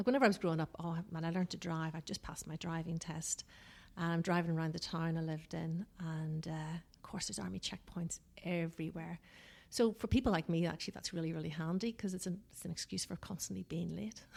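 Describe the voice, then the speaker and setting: Speaking very fast with a strong Northern Irish accent, a woman uses a fairly low pitch and ordinary pitch variation in a very clean recording with a silent background. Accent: Northern Irish, still strong. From Northern Ireland. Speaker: business consultant. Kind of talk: podcast interview.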